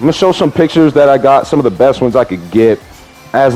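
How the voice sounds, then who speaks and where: Music plays in the background behind a man. His pitch varies in an ordinary way. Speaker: wrestling fan YouTuber. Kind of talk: casual talk to camera.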